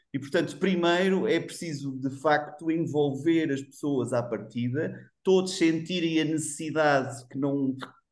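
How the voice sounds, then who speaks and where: Hardly pausing, a man talks at a fairly slow pace and fairly high pitch with ordinary pitch variation, amid audible room echo. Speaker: HR executive, webinar panelist. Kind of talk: panel discussion. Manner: animated.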